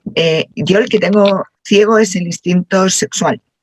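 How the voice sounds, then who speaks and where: A woman speaks very slowly at a medium pitch, her intonation fairly even, and the sound is dry and close with no echo. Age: 60s. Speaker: workshop participant. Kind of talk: group discussion.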